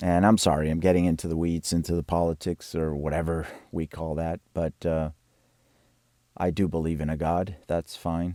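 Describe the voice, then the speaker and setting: On a very clean recording with a silent background and a dry, close sound with no echo, a man with a very deep, low pitch and a dark, mellow tone talks in a monotone, flat way at a moderate pace with long, frequent pauses. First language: Spanish. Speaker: composer. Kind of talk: video walkthrough of own work. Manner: halting, with many fillers and repetitions.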